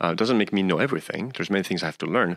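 A man speaks with a French accent. The sound is dry and close, with no echo. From France, northeast of Paris. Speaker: chemistry professor. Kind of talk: interview.

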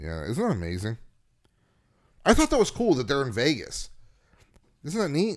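Over a very clean recording with a silent background, a man with a fairly high pitch talks at a moderate pace with vocal fry, very wide pitch swings, and long, frequent pauses. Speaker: podcast host. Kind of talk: casual chat. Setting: studio.

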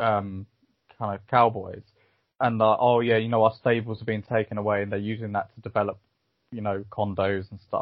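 A man's plain, everyday voice at medium pitch and moderate pace. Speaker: podcast host. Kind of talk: casual chat.

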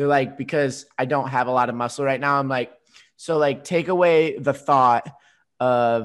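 This man has a normal speaking voice with ordinary pitch variation, recorded very cleanly against a silent background. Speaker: fitness podcast host. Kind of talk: casual chat.

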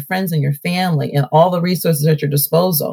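Her voice is fairly low and somewhat breathy as she talks at a fairly quick pace, the sound dry and close with no echo. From Ohio (Cleveland area), born in Alabama. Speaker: mayor. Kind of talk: interview. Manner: animated.

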